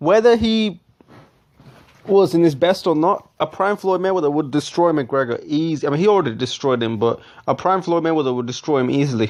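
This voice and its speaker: Fairly quick, lively speech with a non-native accent. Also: man, fairly high pitch for a man. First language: not English. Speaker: boxing commentary youtuber. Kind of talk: casual commentary reading out quotes. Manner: halting, self-correcting.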